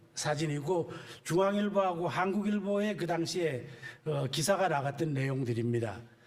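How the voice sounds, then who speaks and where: There is audible echo in the room. A man's pitch swings very widely. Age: 70s. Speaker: church elder and amateur marathon runner. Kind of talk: personal testimony talk. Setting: church service. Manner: casual with frequent filler pauses.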